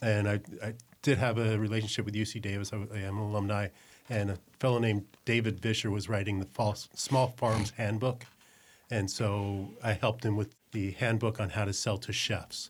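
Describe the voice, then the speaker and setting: A man with an American accent speaks at a moderate pace in a fairly low pitch, his voice somewhat breathy and his intonation flat and monotone. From New Jersey. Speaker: executive chef. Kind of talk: casual chat.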